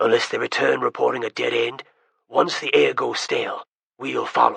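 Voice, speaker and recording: A raspy, put-on character voice speaks at a moderate pace in a dry, close sound with no echo. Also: man. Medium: read story. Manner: clipped, authoritative.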